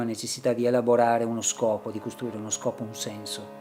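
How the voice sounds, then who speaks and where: An unremarkable speaking voice from a man at medium pitch, very clean recording with a silent background. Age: 60s. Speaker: painter. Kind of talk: reflective monologue in short film. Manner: slow.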